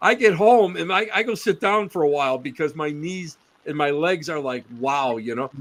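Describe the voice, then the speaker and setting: Using a plain, everyday voice, a man with an American accent and a fairly high pitch speaks at a moderate pace with lively intonation. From Western New York State. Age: 60s. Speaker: paranormal researcher. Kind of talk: casual chat.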